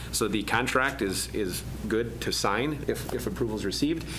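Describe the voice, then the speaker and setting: Noticeable background noise runs under the man's talking. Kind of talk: meeting report. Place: meeting room. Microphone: podium.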